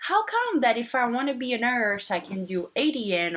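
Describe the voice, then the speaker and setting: She speaks with a Portuguese accent. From Brazil. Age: 30s. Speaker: nursing student vlogger. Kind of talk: casual vlog monologue. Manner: hesitant, many fillers.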